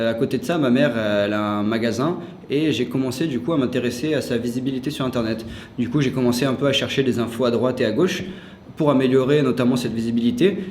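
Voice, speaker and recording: A man talks at a very fast pace with ordinary pitch variation. Noticeable background noise and audible room echo fill the recording. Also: medium pitch for a man. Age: 20s. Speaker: SEO specialist and student. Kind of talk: interview. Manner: hesitant, many fillers.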